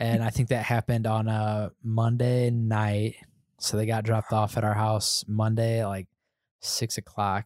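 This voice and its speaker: A man with an American accent speaks fairly slowly at a medium pitch, in a monotone, flat intonation. The recording is very clean with a silent background, and the sound is dry and close with no echo. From US Midwest, northern Indiana. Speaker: church volunteer and foster parent. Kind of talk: casual chat. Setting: church office building.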